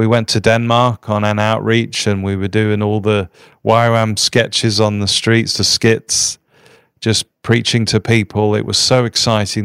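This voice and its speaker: A man with an English accent, medium in pitch, with monotone, flat intonation at a moderate pace, in a very clean recording with a silent background and a dry, close sound with no echo. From England, near London. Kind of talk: interview.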